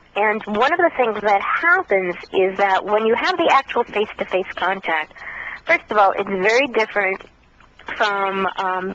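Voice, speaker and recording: Against noticeable background noise, a woman speaks at a moderate pace in a medium pitch. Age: 50s. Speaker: contactee speaking on extraterrestrial experiences. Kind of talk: radio interview.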